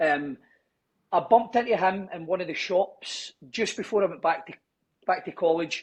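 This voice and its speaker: With a strong Scottish accent, a man speaks at a moderate pace and a high pitch over a quiet background. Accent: broad Scottish. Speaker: gym owner and personal trainer. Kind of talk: casual podcast interview.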